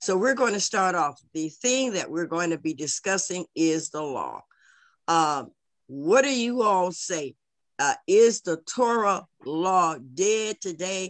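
A woman speaking at a slow pace with lively intonation. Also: fairly low pitch for a woman.

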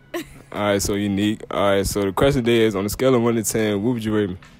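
Delivered at a very fast pace with fairly even intonation, the speech has a dry sound with no echo and faint music in the background. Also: man. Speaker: prank interviewer. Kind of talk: street interview question. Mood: playful, laughing. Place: shop.

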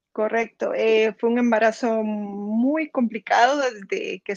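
In a Guatemalan accent, a woman speaks at a fairly slow pace and a fairly high pitch, the sound dry with no echo over a quiet background. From Guatemala, Zacapa. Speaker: near-death experience survivor; interview guest. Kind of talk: testimony. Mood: personal, emotional story. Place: home room. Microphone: video call.

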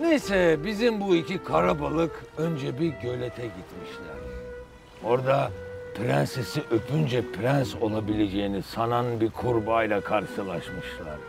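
A man's voice sounds dry with no echo, with clear music playing in the background. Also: fairly slow pace. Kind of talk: acted storytelling monologue. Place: boat.

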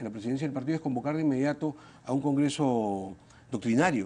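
A man's dark, mellow tone with lively intonation. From Peru. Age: 50s. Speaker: congressman; politician interview guest. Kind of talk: TV interview. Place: studio. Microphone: lapel.

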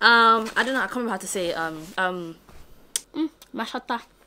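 A woman is talking. Background noise is noticeable. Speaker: vlogger. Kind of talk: casual vlog talk. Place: home room. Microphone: phone near.

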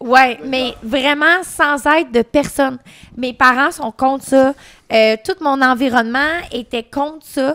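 Speaking at a very slow pace, a woman uses a high pitch, a bright, sharp tone and fairly even intonation. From Quebec. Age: 20s. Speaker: adult content creator. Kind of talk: casual chat. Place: studio. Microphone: studio mic.

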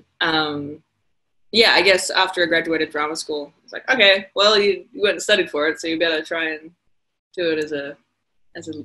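A woman speaks at a moderate pace in a bright, sharp tone. Her pitch is fairly low, with ordinary pitch variation. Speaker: actor interviewed. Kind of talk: interview answer. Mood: relaxed, reflective. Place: home room. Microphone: video call.

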